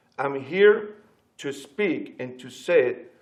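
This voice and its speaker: In a strong Spanish accent, the speaker delivers a passionate tone at a very slow pace, with audible room echo. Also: man. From Latin America. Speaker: pastor. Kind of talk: panel discussion.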